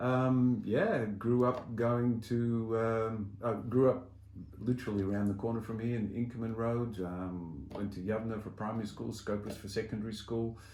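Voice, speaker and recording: With audible room echo, a man with an Australian accent speaks at a moderate pace and medium pitch, in a dark, mellow tone with fairly even intonation. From Australia, Melbourne. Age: 60s. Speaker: community volunteer and soccer club figure. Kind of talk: interview, personal story. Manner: hesitant, many fillers.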